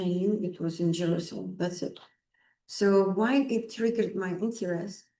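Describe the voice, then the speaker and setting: There is audible room echo around a woman's medium-pitched voice with a dark, mellow tone. She talks at a moderate pace with fairly even intonation. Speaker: lecturer on Vaastu Shastra. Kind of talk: lecture. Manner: loud.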